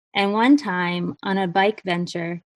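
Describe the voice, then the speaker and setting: A woman with an American accent and a normal speaking voice talks in a medium pitch with ordinary pitch variation, recorded dry and close with no echo. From Maine, US. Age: 40s. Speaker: guest storyteller. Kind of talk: reading aloud.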